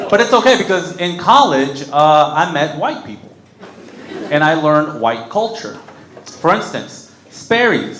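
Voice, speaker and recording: This voice, with a Spanish accent, moves at a fairly slow pace with very wide pitch swings. Audible room echo and noticeable background noise surround it. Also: man, fairly high pitch for a man. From Mexico, raised in Kentucky and North Carolina from age 7. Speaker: comedian. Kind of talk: stand-up. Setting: stage with audience.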